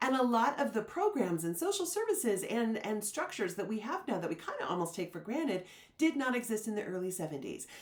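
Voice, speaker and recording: A woman talks at a very fast pace, her pitch swinging very widely. Noticeable background noise runs underneath. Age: 60s. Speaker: book reviewer, literary society director. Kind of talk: casual book review monologue. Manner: conversational with fillers.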